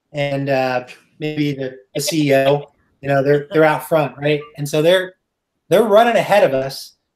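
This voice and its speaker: Intonation stays fairly even as a man speaks at a fairly high pitch. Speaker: software engineer and tech speaker. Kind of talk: technical talk. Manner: fast; hesitant, many filler words.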